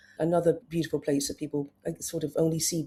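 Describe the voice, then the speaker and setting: Somewhat breathy and dark, mellow in tone, a woman's fairly low voice moves at a fairly quick pace. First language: Serbian. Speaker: travel writer. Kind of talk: interview.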